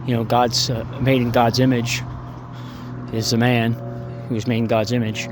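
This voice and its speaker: A man with a medium pitch speaks in a monotone, flat intonation, with long, frequent pauses. Audible room echo and noticeable background noise surround him. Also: moderate pace. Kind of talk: opinion monologue. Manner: halting, many fillers.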